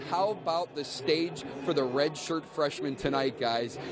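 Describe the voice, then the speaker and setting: A man's voice swings very widely in pitch while noticeable background noise plays behind it. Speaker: sports news anchor. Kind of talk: TV sports news anchoring. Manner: upbeat, energetic.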